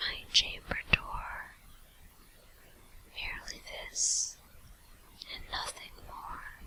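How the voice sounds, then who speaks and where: A woman's very slow whisper is heard through noticeable background noise. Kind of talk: ASMR whisper video. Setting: USB microphone at home computer. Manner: whispered, soft.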